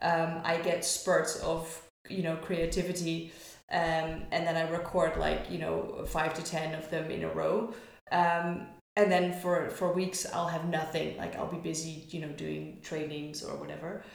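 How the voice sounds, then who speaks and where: A woman's fairly low, monotone, flat voice at a fairly slow pace over noticeable background noise. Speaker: barista and coffee community founder. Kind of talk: casual interview. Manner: loud.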